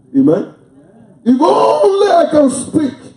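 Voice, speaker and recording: A man's voice swings very widely in pitch. Audible room echo surrounds it, over a quiet background. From Africa. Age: 60s. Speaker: pastor. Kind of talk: sermon; prayer. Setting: church. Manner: animated. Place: church. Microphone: pa.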